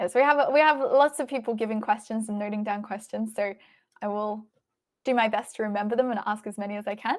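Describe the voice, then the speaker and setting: A woman's fairly high pitch with ordinary pitch variation, at a very fast pace. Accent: Australian. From Australia, Melbourne. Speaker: chess stream commentator. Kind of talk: live stream chat.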